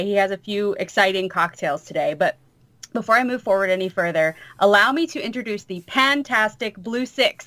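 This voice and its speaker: With an American accent, a woman of medium pitch speaks at a moderate pace with lively intonation and a bright, sharp tone. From US South. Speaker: podcast host. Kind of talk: casual chat.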